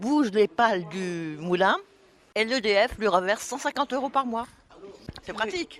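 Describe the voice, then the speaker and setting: Over noticeable background noise, a woman talks at a fairly slow pace with a fairly high pitch and lively intonation. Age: 70s. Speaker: retiree interviewed on community radio. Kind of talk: casual radio interview. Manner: chatty.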